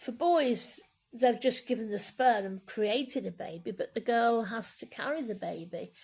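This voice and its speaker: A woman speaks at a fairly high pitch with vocal fry, her loudness swinging widely. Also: ordinary pitch variation, moderate pace. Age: 60s. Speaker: bishop. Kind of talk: personal talk to camera.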